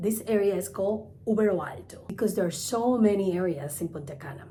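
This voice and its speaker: A woman with a Spanish accent speaks in a medium pitch with a dark, mellow, somewhat breathy tone. Her pitch varies in an ordinary way, and audible room echo surrounds her. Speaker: travel agent and trainer. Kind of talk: tutorial.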